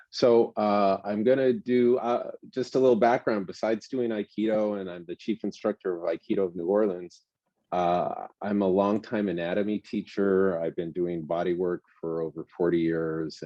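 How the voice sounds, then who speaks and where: A man with a fairly low pitch and a plain, everyday voice. His pace is moderate, with ordinary pitch variation and hardly any pauses. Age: 60s. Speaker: martial arts instructor. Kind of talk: lecture. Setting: indoors.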